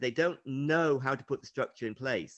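A man talks at a fairly quick pace with an ordinary speaking voice. His pitch sits fairly high. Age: 60s. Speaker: triathlete and running coach. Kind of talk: casual chat.

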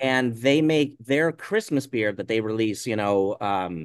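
Against a quiet background, a man with an unremarkable speaking voice talks at a fairly slow pace and medium pitch, his intonation lively and the sound dry and close with no echo. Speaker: brewer. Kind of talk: interview.

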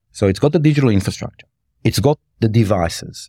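A man at medium pitch, somewhat breathy, with a dark, mellow tone, ordinary pitch variation and a fairly quick pace, on a very clean recording with a silent background and a dry, close sound with no echo. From Australia, rural Victoria (Mildura area). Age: 50s. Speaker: health tech executive. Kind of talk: interview conversation.

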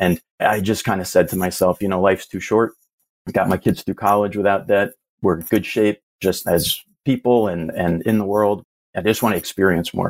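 The recording is very clean, with a silent background and a dry, close sound with no echo. A man speaks in an ordinary speaking voice at a moderate pace, fairly low in pitch with fairly even intonation. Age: 50s. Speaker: IT professional and passive investor. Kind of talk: casual interview.

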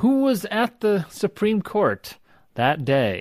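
The voice moves through very wide pitch swings. The recording is very clean, with a silent background. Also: man. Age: 50s. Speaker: sociology professor. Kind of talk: interview.

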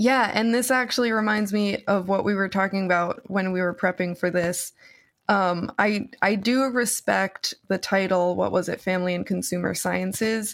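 An ordinary speaking voice moves at a moderate pace with fairly even intonation. The recording is very clean, the background silent. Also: woman, medium pitch for a woman. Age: 30s. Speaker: fashion designer. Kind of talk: casual chat.

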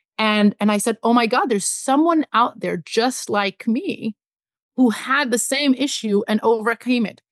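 A woman's normal speaking voice, fairly high-pitched, at a fairly slow pace with ordinary pitch variation. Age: 40s. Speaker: media executive. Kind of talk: interview.

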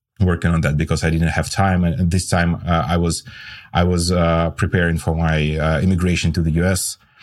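This very clean recording has a silent background. A man with a very deep, low pitch talks at a fairly quick pace with fairly even intonation. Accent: Russian. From Russia. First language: Russian. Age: 40s. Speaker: tech startup co-founder and CTO. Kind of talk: interview chat.

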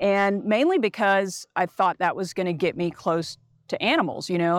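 With an American accent, a woman speaks at a moderate pace in an ordinary speaking voice with ordinary pitch variation. The recording is very clean, with a silent background. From Texas, Dallas. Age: 40s. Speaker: travel company owner. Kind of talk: casual chat.

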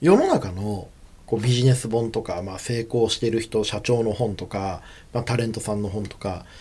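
Somewhat breathy and dark, mellow in tone, a man speaks at a medium pitch and a moderate pace with fairly even intonation. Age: 30s. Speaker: radio host and PR creative director. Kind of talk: radio talk show. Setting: radio studio. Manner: casual, chatty.

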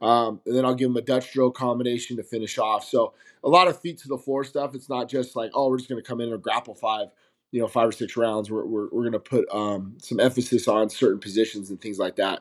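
In a very clean recording with a silent background, a man with a General American accent talks at a very fast pace, using a medium pitch and fairly even intonation. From Las Vegas, Nevada. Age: 40s. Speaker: MMA coach. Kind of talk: casual interview.

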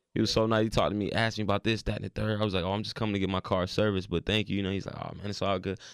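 On a very clean recording with a silent background, a man with an American accent speaks at a very fast pace with hardly any pauses, a fairly low pitch and monotone, flat intonation. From Raleigh, North Carolina. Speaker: rapper. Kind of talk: casual interview. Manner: casual, slangy, repetitive fillers.

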